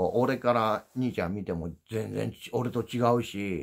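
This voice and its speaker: In an Osaka accent, a man speaks at a fairly low pitch with vocal fry against a quiet background. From Osaka, Japan. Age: old. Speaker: YouTuber, former dump truck driver; YouTuber. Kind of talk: casual livestream chat; casual vlog chat. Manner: sounds gruff, as if angry. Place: home room. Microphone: phone near.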